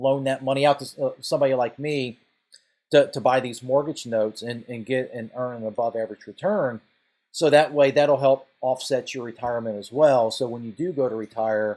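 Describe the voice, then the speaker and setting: A man with a medium-pitched voice and a dark, mellow tone speaks fairly quickly, his intonation fairly even while his loudness swings widely. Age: 50s. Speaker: finance video creator and note investor. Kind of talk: casual talking-head video. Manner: halting, many repetitions and fillers.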